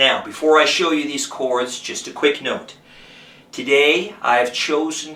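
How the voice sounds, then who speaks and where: Over noticeable background noise, a man with a fairly high pitch speaks at a fairly slow pace with fairly even intonation. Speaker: guitar teacher and musician. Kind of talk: tutorial.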